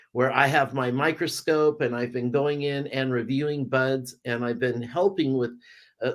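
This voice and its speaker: An ordinary speaking voice from a man with an American accent, fairly high in pitch. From California. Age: 60s. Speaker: cannabis reviewer and author. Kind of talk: casual interview.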